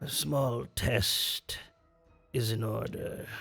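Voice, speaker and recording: Over faint music in the background, a man performs a raspy, put-on character voice at a medium pitch. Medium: actual play. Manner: weary, wary, deliberate.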